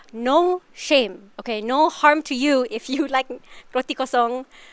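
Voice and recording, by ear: Her tone is clear and smooth, and she speaks at a fairly slow pace. This woman's voice is high-pitched with ordinary pitch variation.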